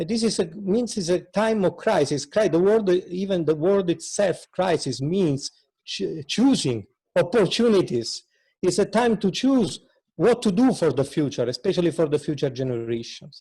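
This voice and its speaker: A man's high-pitched voice in a dark, mellow tone, with lively intonation. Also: moderate pace. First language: not English. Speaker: speaker at an interfaith peace event. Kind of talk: speech at online event. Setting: video call with screen share. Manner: halting.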